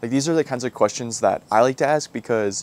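At a fairly quick pace, a man speaks with fairly even intonation in a dry sound with no echo. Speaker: car detailing creator. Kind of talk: casual vlog chat. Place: garden. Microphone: lapel.

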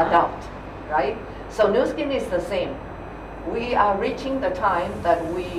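A woman speaks with lively intonation and long, frequent pauses against noticeable background noise. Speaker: network marketing leader. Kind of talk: interview answer. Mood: warm, pleasant. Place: studio.

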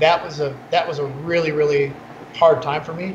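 Noticeable background noise sits behind a man speaking at a moderate pace with fairly even intonation. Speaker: beverage company co-founder. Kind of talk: interview. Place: office. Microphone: video call.

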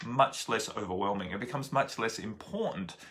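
The tone is bright and sharp. A man speaks with a quiet background. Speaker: spiritual teacher. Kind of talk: casual vlog chat. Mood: calm, earnest. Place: home room. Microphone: phone near.

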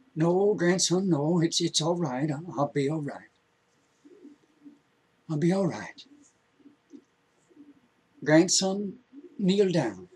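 Using a put-on character voice, a man speaks with a fairly high pitch and a husky, rough edge over a slightly mellow tone. His slow delivery has lively intonation and long, frequent pauses.

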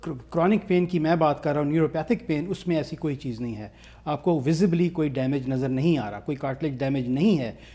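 Hardly pausing at all, a man speaks at a moderate pace in a dark, mellow tone. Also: fairly high pitch for a man, ordinary pitch variation. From Pakistan. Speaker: pain specialist doctor; guest. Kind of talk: interview. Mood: calm, explanatory. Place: studio. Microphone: lapel.

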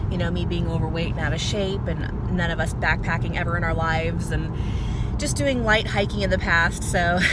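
A woman talks at a moderate pace. The sound is dry with no echo, but the background noise is loud. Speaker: hiker vlogger. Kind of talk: casual vlog chat. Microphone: phone near.

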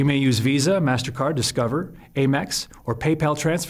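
A somewhat breathy man's voice over a quiet background. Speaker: infomercial presenter. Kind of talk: infomercial presenter read. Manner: clear, professional, instructional. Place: studio.

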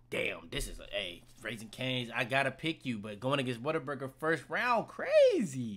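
A man at a moderate pace with hardly any pauses, big swings in loudness and lively intonation. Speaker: podcast host running a ranking game. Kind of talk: casual podcast banter.

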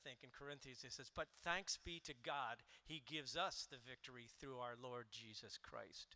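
Hardly pausing, a man speaks at a moderate pace with ordinary pitch variation. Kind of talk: sermon-like introduction before worship. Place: church. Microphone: handheld.

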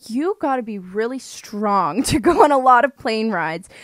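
With a Canadian accent, a woman speaks in an ordinary speaking voice at a fairly slow pace. Her intonation is lively, over a quiet background. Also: dry sound with no echo. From Canada. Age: 20s. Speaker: podcast host. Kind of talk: casual chat. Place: home room. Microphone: studio mic.

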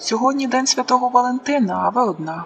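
Talking very fast in a high pitch, a woman puts on a character voice. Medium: read story. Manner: flirty, friendly.

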